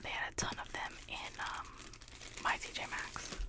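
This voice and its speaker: A soft-spoken woman whispering very slowly, dry with no echo, against loud background noise. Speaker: haul vlogger. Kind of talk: casual haul chat, partly reading a label. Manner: soft close-mic ASMR whisper. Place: home room. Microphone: studio mic.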